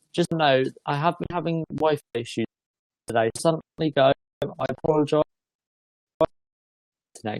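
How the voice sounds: Moderate pace, slightly mellow tone, ordinary pitch variation and long, frequent pauses, in a dry, close sound with no echo. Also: woman, low pitch for a woman.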